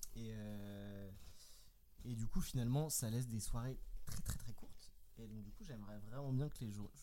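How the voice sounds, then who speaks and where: Pausing long and often, a man speaks at a moderate pace with audible room echo. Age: 20s. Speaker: software engineer. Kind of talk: casual chat.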